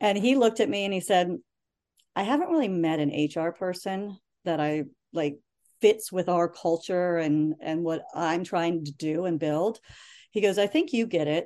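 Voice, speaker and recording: With an American accent, a woman speaks at a moderate pace and fairly low pitch. Her tone is dark and mellow over a quiet background. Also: ordinary pitch variation. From Northern Virginia, US. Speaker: tech company senior manager. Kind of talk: interview, casual chat. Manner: animated.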